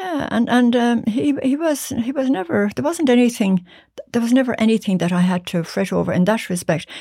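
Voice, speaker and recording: In an Irish accent, a woman speaks at a fairly quick pace with a fairly high pitch, a dark, mellow tone and very wide pitch swings. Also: very clean recording, silent background. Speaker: musician's mother. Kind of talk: casual chat. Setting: studio.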